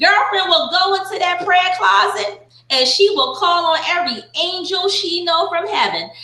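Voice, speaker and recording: A woman talks in an animated tone at an extremely high pitch, her voice raised and projected at a moderate pace. Noticeable background noise and audible room echo come through. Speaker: Bible study leader. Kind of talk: Bible study teaching with group interaction. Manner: animated, excitable.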